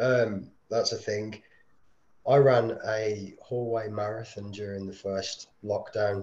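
Somewhat breathy, a man talks very slowly. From Birmingham, England. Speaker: ultra runner. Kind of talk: casual chat.

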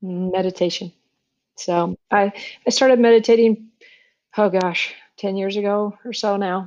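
A woman with an American accent, medium pitch and a fairly slow pace. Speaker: retired doctor turned holistic healer. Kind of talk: interview. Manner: halting.

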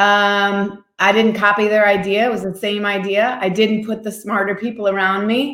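Delivered at a moderate pace with an American accent, the speech has hardly any pauses and a monotone, flat intonation. Some room echo is audible. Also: woman, medium pitch for a woman. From US Midwest, Indiana. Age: 50s. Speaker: entrepreneur and children's advocate. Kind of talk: interview.

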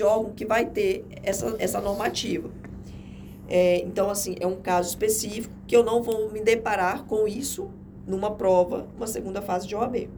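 A woman with a fairly high pitch speaks at a moderate pace with fairly even intonation. Audible room echo surrounds her voice. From Rondônia, Brazil (Jaru, interior). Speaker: administrative law attorney. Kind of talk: interview, casual chat. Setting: podcast studio.

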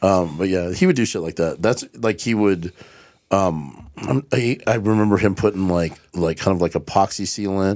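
The recording is very clean with a silent background. A man with a very deep, low pitch and an American accent speaks at a moderate pace with ordinary pitch variation. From US South. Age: 50s. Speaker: comedian. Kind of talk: casual chat.

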